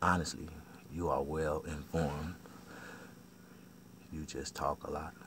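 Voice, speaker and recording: A man talks in a very deep, low voice. He leaves long, frequent pauses. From US South. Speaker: barber and vlogger. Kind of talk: casual monologue vlog. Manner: fast; animated.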